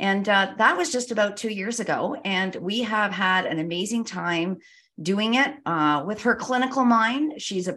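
On a very clean recording with a silent background, a woman with a bright, sharp tone and fairly high pitch speaks at a moderate pace with ordinary pitch variation. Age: 60s. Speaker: retired educator and children's author. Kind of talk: podcast interview. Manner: animated.

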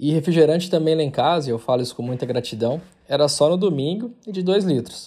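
Lively in intonation, a man speaks at a very fast pace. His voice is fairly high in pitch with a dark, mellow tone. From Brazil, Goiás (Porangatu). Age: 30s. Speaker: tech company founder and CEO. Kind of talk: recorded monologue testimony.

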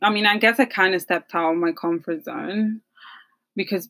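A woman talks in a normal speaking voice, her medium pitch showing ordinary pitch variation. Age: 20s. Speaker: podcast co-host. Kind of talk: casual chat.

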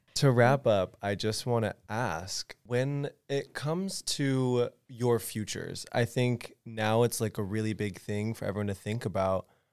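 Recorded very cleanly against a silent background with a dry, close sound and no echo, a man at medium pitch uses an ordinary speaking voice, with ordinary pitch variation and hardly any pauses. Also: fairly slow pace. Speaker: student podcast host. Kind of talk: casual chat.

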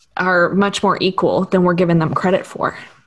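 With an American accent and medium pitch, a woman speaks in a monotone, flat intonation against a quiet background. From Texas. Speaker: social worker and pastor.

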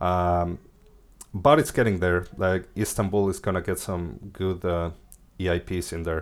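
At a fairly slow pace, a speaker with a Spanish accent is heard in a very clean recording with a silent background. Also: man. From Mexico. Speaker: crypto engineer. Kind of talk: interview.

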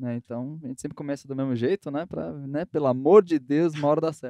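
Dry and close with no echo, the sound captures a man talking. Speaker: podcast host. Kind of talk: casual podcast chat.

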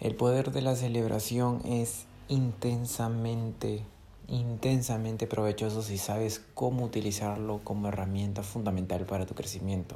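Audible room echo surrounds a dark, mellow voice that moves at a fairly slow pace with fairly even intonation. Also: man. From Peru. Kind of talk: motivational monologue.

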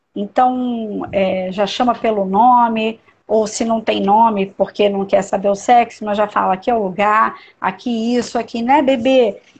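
A woman speaks at a fairly slow pace with a fairly high pitch. Her voice is somewhat breathy, with ordinary pitch variation. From Niterói, Rio de Janeiro state, Brazil. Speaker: doula and perinatal educator. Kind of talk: casual interview on a live stream.

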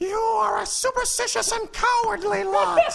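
A put-on character voice at a moderate pace over clear background noise. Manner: mock-menacing.

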